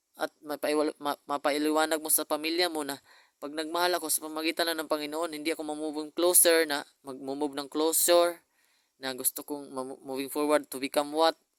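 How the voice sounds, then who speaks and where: A man's fairly high voice at a fairly quick pace, with a dry, close sound and no echo. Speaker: vlogger. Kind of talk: personal video message. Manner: fast; halting.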